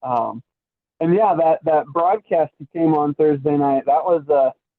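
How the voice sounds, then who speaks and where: Speaking with an American accent, a man with an ordinary speaking voice talks at a moderate pace and a fairly high pitch. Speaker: baseball broadcaster. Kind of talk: interview.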